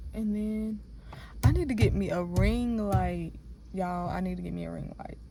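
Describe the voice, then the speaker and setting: A woman is heard with audible room echo and noticeable background noise. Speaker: vlogger. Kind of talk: casual vlog talk. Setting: in a car, then outdoors at home. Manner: fast; rambling, animated.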